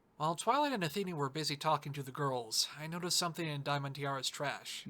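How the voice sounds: A cartoonish character voice at a middle pitch and a very fast pace, on a very clean recording with a silent background.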